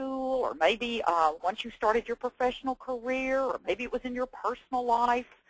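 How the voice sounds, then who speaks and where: A woman's high-pitched, enthusiastic voice in a Texan accent, moderate pace, dry and close with no echo. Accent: Texan Southern. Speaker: education presenter and former teacher. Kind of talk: webinar presentation. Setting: online webinar.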